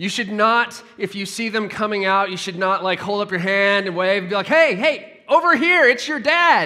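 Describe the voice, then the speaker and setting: A man's raised, projected voice, high in pitch, with lively intonation. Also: moderate pace, hardly any pauses. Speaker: pastor. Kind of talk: sermon. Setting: church with congregation.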